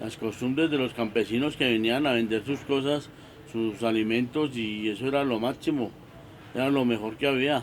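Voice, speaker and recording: Male speech with ordinary pitch variation at a moderate pace, noticeable background noise behind it. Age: 60s. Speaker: locksmith, market vendor. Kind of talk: documentary interview testimony. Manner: halting, many repetitions.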